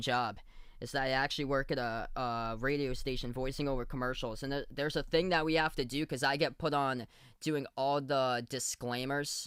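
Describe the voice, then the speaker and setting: In a very clean recording with a silent background, a man talks at a moderate pace with a fairly high pitch. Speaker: livestream basketball commentator. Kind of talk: live play-by-play and chat reactions. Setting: livestream. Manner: animated.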